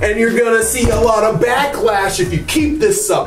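Clear music plays in the background, and audible room echo fills the space. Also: man. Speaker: toy reviewer. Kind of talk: casual vlog chat. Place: bathroom. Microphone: phone near.

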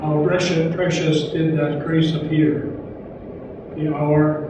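Very slow speech from a man with a fairly high voice, amid strong room echo and noticeable background noise. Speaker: clergyman. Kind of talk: memorial tribute speech. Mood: solemn, reflective. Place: hall.

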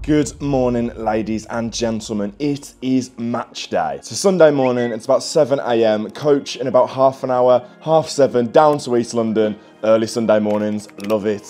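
A man's speech at a moderate pace with ordinary pitch variation and hardly any pauses, over faint background music. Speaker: football fan vlogger. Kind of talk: casual vlog chat. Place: home room. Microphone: phone near.

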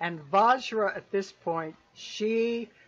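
Ordinary pitch variation in plain reading aloud.

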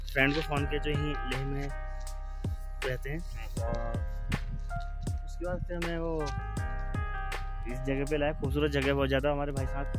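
Clear music plays in the background of a dry recording with no echo. A man talks at a fairly slow pace, leaving long, frequent pauses. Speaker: travel vlogger. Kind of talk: casual vlog chat. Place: street. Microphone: phone near.

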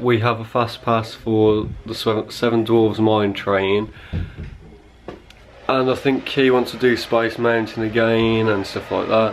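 A man speaking at a fairly slow pace, with light background noise. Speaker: travel vlogger. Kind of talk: casual vlog chat. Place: home room. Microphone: phone near.

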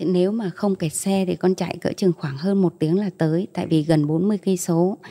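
At a moderate pace, a woman speaks in a fairly low pitch with a dark, mellow tone and fairly even intonation. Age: 40s. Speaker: mother giving faith testimony; interview guest. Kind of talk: testimony. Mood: calm, earnest faith testimony. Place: studio. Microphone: handheld.

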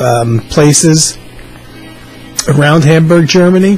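A man is talking. Faint music plays in the background. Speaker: music fan vlogger. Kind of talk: casual vlog chat. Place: home room. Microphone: webcam.

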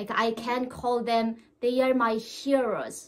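In a Korean accent, a woman with a fairly high pitch speaks at a very slow pace. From North Korea. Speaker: North Korean defector. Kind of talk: interview. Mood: warm, smiling. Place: home room.

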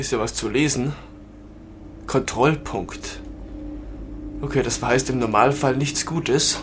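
Noticeable background noise sits under a man's medium-pitched voice. He talks at a very slow pace with long, frequent pauses. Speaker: gaming let's player. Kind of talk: let's play commentary. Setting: home recording. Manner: animated.

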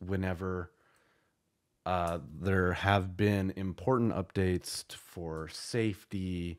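Over a silent background in a very clean recording, a man speaks very slowly with a very deep, low pitch. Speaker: YouTuber. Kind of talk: casual vlog talk to camera. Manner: casual, with frequent fillers.

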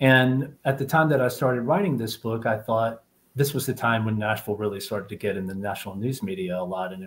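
A man with an American accent talks at a fairly quick pace, somewhat breathy, with ordinary pitch variation over light background noise. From US South. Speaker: novelist. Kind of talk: panel conversation. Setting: video call. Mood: relaxed, conversational. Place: home room. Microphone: earbuds.

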